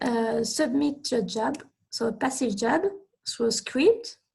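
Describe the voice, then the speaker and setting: With a French accent, a woman speaks at a very slow pace using lively intonation. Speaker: researcher presenting computing tutorial. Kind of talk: technical presentation.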